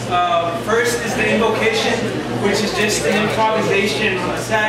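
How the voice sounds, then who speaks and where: Through audible room echo and loud background noise, a man speaks at a moderate pace. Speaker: poet. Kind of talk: casual introduction to audience. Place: bar.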